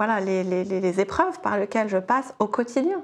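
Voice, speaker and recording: Her voice fairly high, a woman speaks with ordinary pitch variation. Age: 40s. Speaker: life coach. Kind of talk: casual interview.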